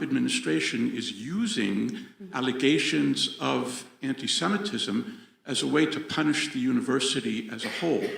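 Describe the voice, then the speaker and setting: A man with an American accent at a fairly slow pace, with audible room echo and noticeable background noise. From United States. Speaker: audience member, professor. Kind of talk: audience question. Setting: venue with live audience.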